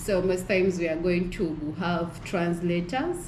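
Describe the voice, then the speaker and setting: A woman with a Ugandan accent speaks fairly slowly in a fairly low voice. There is audible room echo and noticeable background noise. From Uganda, Busoga region. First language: Lusoga. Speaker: fieldwork team member. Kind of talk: casual chat.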